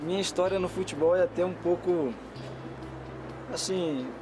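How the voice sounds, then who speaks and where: Amid noticeable background noise, a man with a high pitch speaks fairly slowly, taking long, frequent pauses. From Brazil, Bahia (Itororó). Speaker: football player. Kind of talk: TV interview.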